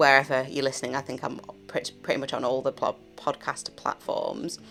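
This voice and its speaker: Speaking at a fairly quick pace in a relaxed tone, a woman talks over music in the background. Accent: British. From UK. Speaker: podcast host. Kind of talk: casual chat. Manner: rambling, relaxed chatty pace.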